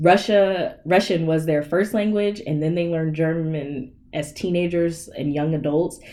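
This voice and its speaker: Speaking at a fairly slow pace with hardly any pauses, a woman with a slight Southern US accent has a dark, mellow tone, fairly low pitch and fairly even intonation. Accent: slight Southern twang. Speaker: podcast guest. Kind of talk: casual chat.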